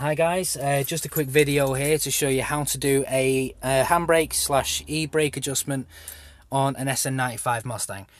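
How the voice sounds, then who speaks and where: With an English accent, a man with a fairly high pitch talks at a moderate pace and with fairly even intonation. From England. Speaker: car DIY video maker. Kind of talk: tutorial. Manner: casual, with many fillers.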